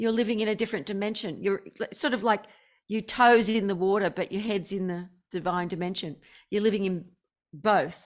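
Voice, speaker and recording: Speaking at a fairly quick pace with an Australian accent, a woman is heard in a very clean recording with a silent background. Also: medium pitch for a woman, ordinary pitch variation. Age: 60s. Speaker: spiritual teacher. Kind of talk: interview.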